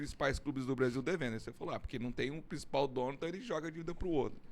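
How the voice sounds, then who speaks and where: The speaker is a man. His pitch sits fairly high. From Brazil, Londrina, Paraná. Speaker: podcast co-host. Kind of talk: podcast interview.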